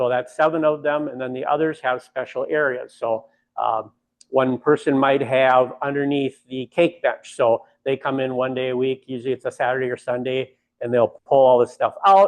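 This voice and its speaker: This is a normal speaking voice moving at a moderate pace. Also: man, medium pitch for a man. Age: 60s. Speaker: bakery owner. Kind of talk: guided tour.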